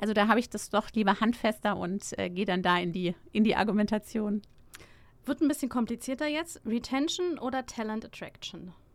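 With a normal speaking voice, a woman delivers her words quickly-ish, pitched fairly high and with lively intonation. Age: 40s. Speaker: startup founder. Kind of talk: interview. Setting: studio.

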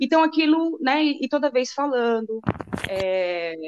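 A woman with an ordinary speaking voice uses lively intonation. Her sound is dry and close, with no echo. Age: 40s. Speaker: mother. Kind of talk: casual chat.

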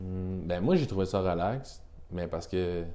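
The tone is dark and mellow. Room echo can be heard. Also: man. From Quebec, Rimouski. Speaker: brand agency representative, snowboarder. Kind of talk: casual chat.

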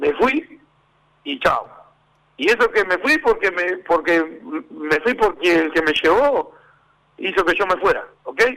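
Very slow and broken by long, frequent pauses, the raised, projected voice has a bright, sharp tone and very wide pitch swings. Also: man, high pitch for a man. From Uruguay, Montevideo (Villa del Cerro). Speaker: former footballer and football coach. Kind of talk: radio interview.

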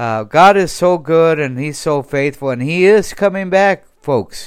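In a very clean recording with a silent background, a man talks at a fairly slow pace with ordinary pitch variation in an ordinary speaking voice. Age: 60s. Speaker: evangelist preacher. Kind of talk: sermon.

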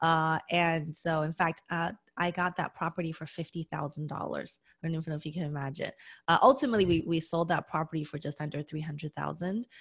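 Very fast, somewhat breathy speech from a woman, fairly low in pitch with fairly even intonation, on a very clean recording with a silent background. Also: dry, close sound with no echo. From US West, Las Vegas. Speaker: accountant and real estate investor. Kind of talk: interview.

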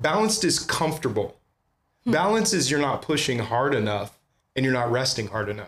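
With an animated tone and an American accent, a man speaks at a fairly quick pace in a medium pitch, making very wide pitch swings while keeping very even loudness. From California Bay Area. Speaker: church planter pastor. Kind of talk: casual interview conversation. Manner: animated, talkative.

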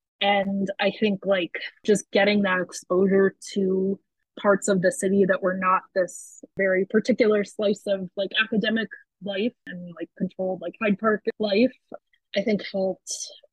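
A woman talks at a moderate pace and medium pitch, her voice somewhat breathy and her intonation fairly even. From US East Coast, Baltimore suburbs. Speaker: writer and zine publisher. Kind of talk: interview.

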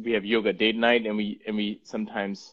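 This man's voice sits fairly low in pitch. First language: Punjabi. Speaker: app company host interviewing a guest. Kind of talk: casual interview on Instagram Live. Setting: Instagram Live video stream. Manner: animated, laughing often.

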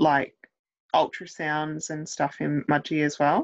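A fairly slow voice with an Australian accent over a quiet background. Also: woman. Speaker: podcast host. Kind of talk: casual interview.

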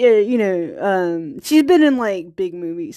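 With an American accent, a woman at a fairly high pitch speaks at a moderate pace in a dark, mellow tone with lively intonation, on a very clean recording with a silent background. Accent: Virginia country accent, comes out when tired. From US South, small-town Virginia. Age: 30s. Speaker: indie filmmaker and podcaster. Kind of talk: personal monologue podcast. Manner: halting, many fillers and restarts; frequent laughter.

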